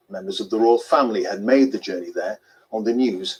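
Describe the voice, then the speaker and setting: This man has a British accent. He talks at a moderate pace. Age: 50s. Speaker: news anchor. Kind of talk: news reading. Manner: formal.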